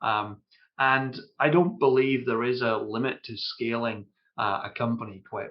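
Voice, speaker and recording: Here a man speaks with a Scottish accent at a fairly slow pace. His pitch is medium, with ordinary pitch variation. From Scotland. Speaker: ERP consultant, company founder. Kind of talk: podcast interview. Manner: hesitant, many fillers.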